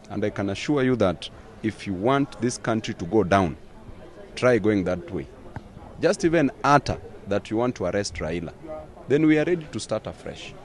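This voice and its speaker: A man speaks at a moderate pace in a fairly low voice, his pitch swinging very widely. Long, frequent pauses break up his speech, and the dry sound has no echo over light background noise. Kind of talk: interview answer. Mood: stern, warning. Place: street. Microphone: handheld.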